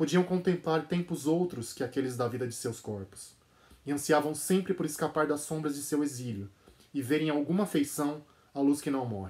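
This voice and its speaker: A man's somewhat breathy, solemn and dramatic voice with a Brazilian accent, at a moderate pace with ordinary pitch variation. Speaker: translator and channel host. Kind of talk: dramatic narration reading aloud a literary passage. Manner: solemn, dramatic, measured; casual, enthusiastic in intro. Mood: calm, measured narration. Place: home room. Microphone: phone near.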